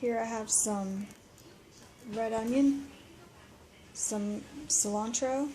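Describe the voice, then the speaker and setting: A woman with a fairly high pitch sounds somewhat breathy. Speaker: vlogger sharing daily diet. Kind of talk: casual vlog narration. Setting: library. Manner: casual, conversational; quiet.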